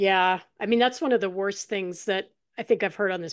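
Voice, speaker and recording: Here is a woman with a normal speaking voice at a medium pitch. She keeps a moderate pace and ordinary pitch variation against a quiet background. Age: 50s. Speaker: podcast host. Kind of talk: casual interview.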